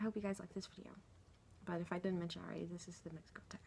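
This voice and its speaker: A soft-spoken woman talks with monotone, flat intonation. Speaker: vlogger. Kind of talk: casual chat. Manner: halting.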